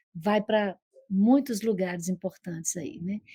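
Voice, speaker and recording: A dark, mellow, somewhat breathy voice speaks in a Minas Gerais accent at a moderate pace with ordinary pitch variation. The sound is dry and close, with no echo. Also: woman. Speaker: psychoanalyst. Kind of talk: TV interview. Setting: online video call. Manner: gentle.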